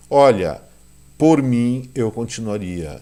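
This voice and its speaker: The man's voice has a dark, mellow tone. His intonation is lively. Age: 60s. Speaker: economics commentator, channel owner. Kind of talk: video commentary monologue. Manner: warm, conversational.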